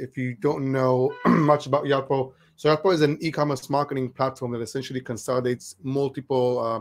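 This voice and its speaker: Fairly quick, fairly even speech from a man at medium pitch. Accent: non-native. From Israel. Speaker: marketing platform employee, webinar panelist. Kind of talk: webinar panel discussion. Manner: halting, many fillers.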